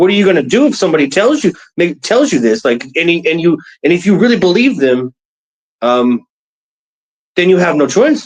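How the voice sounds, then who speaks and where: Using very wide pitch swings and very even loudness, a man with an American accent talks in a high pitch at a fairly quick pace, with long, frequent pauses. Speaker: former soldier, interview guest. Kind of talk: casual interview.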